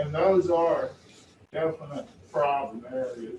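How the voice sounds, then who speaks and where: A man speaks with a Texan accent. His pitch sits fairly high for a man. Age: 60s. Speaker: property owner protesting appraisal. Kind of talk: appeal hearing testimony. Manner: halting, repeats words.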